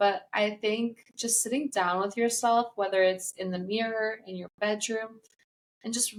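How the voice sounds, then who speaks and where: A woman with a non-native accent talks at a fairly slow pace, her fairly high pitch showing ordinary pitch variation. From US Midwest, Chicago. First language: not English. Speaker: self-published author, former hairstylist. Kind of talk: podcast interview.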